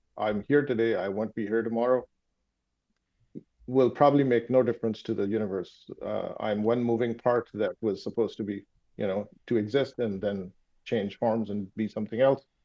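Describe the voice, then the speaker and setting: With a Pakistani accent, a man speaks at a moderate pace and medium pitch, with fairly even intonation. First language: Urdu. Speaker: sleep doctor and startup founder. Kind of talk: interview conversation. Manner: halting, many fillers.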